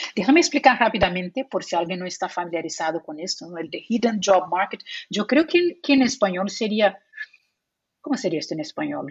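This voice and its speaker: A woman with a Portuguese accent speaks at a fairly quick pace, somewhat breathy, with lively intonation and big swings in loudness. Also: medium pitch for a woman. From Brazil. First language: Portuguese (speaking Spanish). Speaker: psychologist and remote work recruiter. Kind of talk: interview.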